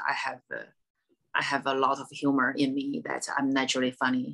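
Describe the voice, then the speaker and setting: Speaking with a strong Chinese accent, a woman has a very deep, low pitch. Her tone is bright and sharp, and her pace moderate. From China. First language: Mandarin Chinese. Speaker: stand-up comedian. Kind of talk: casual interview chat. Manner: halting, many fillers and repeats.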